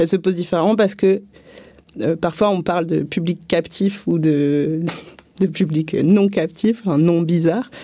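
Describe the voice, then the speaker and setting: A woman's loudness stays very even and her pitch varies in an ordinary way, with long pauses coming often. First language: not French (speaking French). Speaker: street theatre and circus artist. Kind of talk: panel debate. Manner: hesitant, many fillers.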